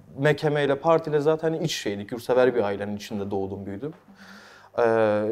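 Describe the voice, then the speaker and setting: This man talks at a fairly quick pace. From Mardin, southeastern Turkey. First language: Kurdish (speaking Turkish). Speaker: talk show host and dubbing artist. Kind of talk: interview. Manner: halting with many fillers.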